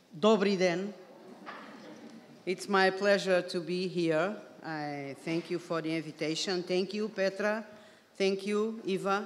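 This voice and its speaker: A woman in a Portuguese accent talks at a fairly slow pace with fairly even intonation and long, frequent pauses. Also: medium pitch for a woman. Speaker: career guidance academic. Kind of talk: conference presentation. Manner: formal.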